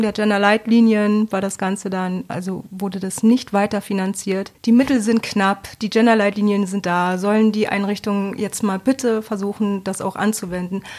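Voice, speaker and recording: A woman speaks with a medium pitch in a monotone, flat way. She leaves hardly any pauses. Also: moderate pace. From Bremen, northern Germany. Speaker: coordinator in mental health and addiction support. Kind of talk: interview.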